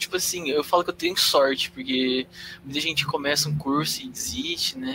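Pitch varies in an ordinary way as an unremarkable speaking voice proceeds at a moderate tempo. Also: man. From Londrina, Paraná, Brazil. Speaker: psychology student, podcast producer. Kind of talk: casual chat. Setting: live stream.

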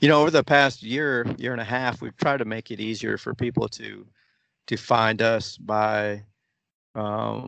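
Fairly slow in pace, a man speaks at a medium pitch. He has an ordinary speaking voice. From United States (moved from the Philippines at age four). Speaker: football supporters club president. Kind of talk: interview.

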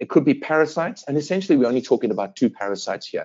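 With a South African accent, a man talks at a fairly high pitch with very wide pitch swings. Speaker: veterinary dermatologist. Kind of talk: interview.

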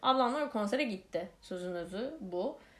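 The pace of this woman's speech is fairly slow. Her pitch sits in the middle range. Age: 30s. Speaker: podcast host. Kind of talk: casual monologue. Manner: many filler hesitations.

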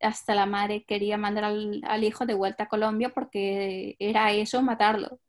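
A woman with a Spanish accent speaks at a fairly high pitch in a monotone, flat delivery. The recording is very clean, with a silent background. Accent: Spanish (Spain). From Spain. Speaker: translator and interpreter. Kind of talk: interview.

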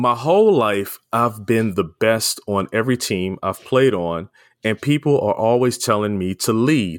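Delivered at a fairly slow pace with an American accent, an ordinary speaking voice shows ordinary pitch variation, with a dry, close sound with no echo on a very clean recording with a silent background. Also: man. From Baltimore, Maryland. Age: 50s. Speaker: podcast host. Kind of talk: interview.

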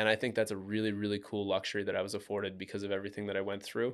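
A man talks at a very fast pace in a fairly low pitch with monotone, flat intonation. The recording is very clean, with a silent background. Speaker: shooting survivor and marathon runner. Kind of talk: casual interview.

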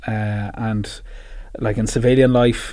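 This man speaks with a Dublin accent. His pitch sits in the medium range. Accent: Dublin Irish. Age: 30s. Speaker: PR agency CEO and army veteran. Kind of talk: interview.

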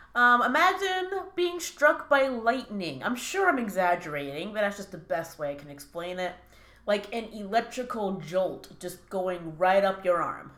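Over noticeable background noise, a woman speaks at a moderate pace in a medium pitch, with very wide pitch swings and big swings in loudness. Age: 20s. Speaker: chronic pain sufferer sharing her story. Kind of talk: casual interview.

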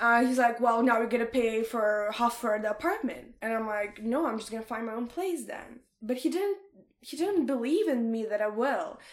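In a Russian accent, a woman speaks at a moderate pace with an animated tone and ordinary pitch variation. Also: fairly high pitch for a woman. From Ukraine, Odessa. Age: 20s. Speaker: podcast guest. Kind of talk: casual chat.

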